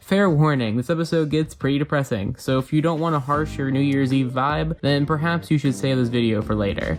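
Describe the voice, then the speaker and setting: Talking at a fairly quick pace, a man shows ordinary pitch variation while music plays in the background. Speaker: video essayist. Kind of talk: video review narration.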